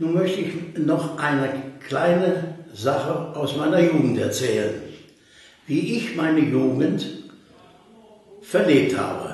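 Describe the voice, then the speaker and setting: A man's fairly high voice in strong room echo. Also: ordinary pitch variation. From Germany. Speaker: contemporary witness. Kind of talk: oral history interview. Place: home room.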